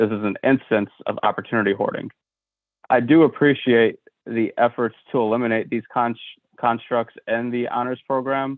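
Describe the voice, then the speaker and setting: Here a man with a medium pitch speaks in a monotone, flat way at a moderate pace. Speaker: school board member. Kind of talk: board meeting statement. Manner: halting, with repeated words.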